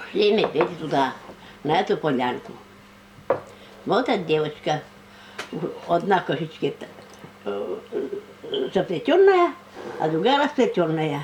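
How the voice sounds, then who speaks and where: Fairly low-pitched female voice at a fairly slow pace, with very wide pitch swings and long, frequent pauses. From Komi Republic, Russia. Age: old. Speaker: storyteller and writer. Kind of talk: oral folk tale telling. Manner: unscripted, conversational.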